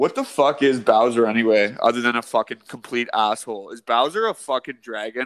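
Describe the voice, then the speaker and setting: A man with a Canadian accent and a normal speaking voice, fairly quick and with hardly any pauses, his intonation fairly even but his loudness swinging widely, recorded dry and close with no echo. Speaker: podcast co-host. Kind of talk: casual chat. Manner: joking banter.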